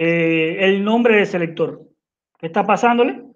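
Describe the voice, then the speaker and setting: This man talks at a very slow pace, his pitch varying in an ordinary way. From Cuba. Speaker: software engineer. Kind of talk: technical presentation. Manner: halting.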